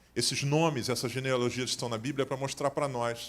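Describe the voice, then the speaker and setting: A man speaks in a Carioca accent at a medium pitch. His intonation stays fairly even. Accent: carioca (Rio de Janeiro) accent, noticeable. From Rio de Janeiro, Brazil. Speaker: pastor. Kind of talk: sermon. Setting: church service.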